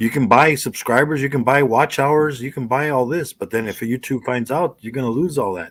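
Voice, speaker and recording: This man talks at a fairly quick pace with hardly any pauses, his pitch medium and its variation ordinary. The recording is very clean, the background silent. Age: 60s. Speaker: livestream chat participant. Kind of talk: casual chat. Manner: halting, repetitive.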